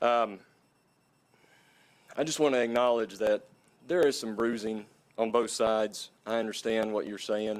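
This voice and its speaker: In an Appalachian accent, the speaker moves at a moderate pace with fairly even intonation and long, frequent pauses. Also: man, medium pitch for a man. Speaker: redistricting committee member. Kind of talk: public meeting presentation. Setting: city council meeting.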